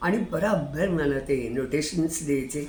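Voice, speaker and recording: Over noticeable background noise, the voice rises and falls with lively intonation. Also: woman. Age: 80s+. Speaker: retired hobbyist YouTuber. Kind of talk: casual talk to camera.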